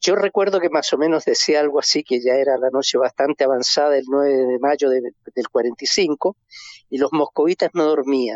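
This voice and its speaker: At a moderate pace, a man with an unremarkable speaking voice talks in a fairly high pitch with ordinary pitch variation. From Chile. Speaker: historian. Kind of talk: phone interview.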